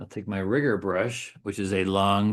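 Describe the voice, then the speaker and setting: A man's fairly low voice with fairly even intonation over a quiet background. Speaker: watercolor artist and teacher. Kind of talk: painting demonstration tutorial. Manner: fast.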